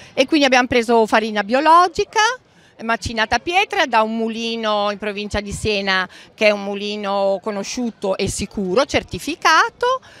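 A woman speaks in an ordinary speaking voice at a moderate pace, her fairly high pitch carrying lively intonation over a dry sound with no echo. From Emilia-Romagna, Romagna. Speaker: home cook running a social fresh-pasta project; pasta stall vendor. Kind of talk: interview at a fair. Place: market. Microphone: handheld.

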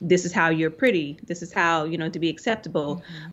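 With an ordinary speaking voice, a woman talks at a fairly quick pace in a fairly low pitch. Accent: American. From US South (Arkansas). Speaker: art professor and printmaker. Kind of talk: interview.

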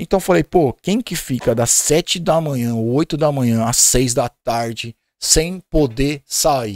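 An animated tone comes through on a dry recording with no echo and a quiet background. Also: man. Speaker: podcast guest. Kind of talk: casual chat. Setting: studio. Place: studio. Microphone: studio mic.

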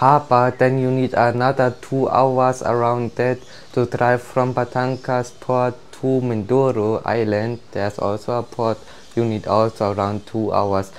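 A man at a fairly slow pace with monotone, flat intonation. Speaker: travel vlogger. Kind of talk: casual vlog chat. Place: home room.

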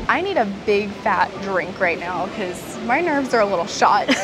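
Moderate-paced female speech over background music. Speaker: travel vlogger. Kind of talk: casual vlog chat. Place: station.

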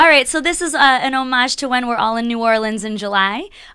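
A woman speaks in a high pitch with a bright, sharp tone. Her intonation is lively, and the background is quiet. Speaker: podcast co-host, drinks trade manager; podcast co-host. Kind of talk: casual chat. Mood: cheerful, upbeat. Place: studio. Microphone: studio mic.

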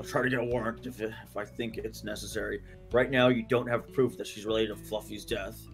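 Over clear background music, a man rattles along at a very fast pace in a put-on character voice. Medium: game stream. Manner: sarcastic, smug.

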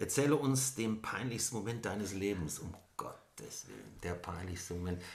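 A man with a somewhat breathy, fairly low voice speaks at a moderate pace with ordinary pitch variation. Audible room echo surrounds him. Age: 50s. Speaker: author and suicide attempt survivor. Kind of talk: personal interview conversation. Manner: hesitant with many fillers.

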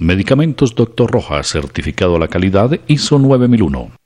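A man is speaking. His pitch swings very widely. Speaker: television host. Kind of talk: TV health show hosting. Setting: studio.

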